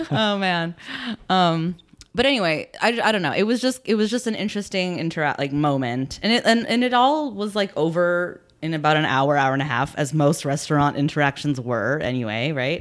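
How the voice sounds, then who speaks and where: This woman has a fairly low pitch and very wide pitch swings, talking at a moderate pace on a very clean recording with a silent background. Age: 30s. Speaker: podcast co-host. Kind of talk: casual chat.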